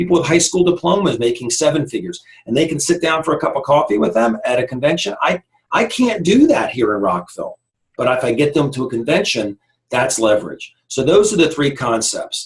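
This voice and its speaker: A man with a fairly high pitch speaks at a fairly quick pace, his intonation lively. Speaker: network marketing team leader. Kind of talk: training presentation. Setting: recorded online team meeting. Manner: fast.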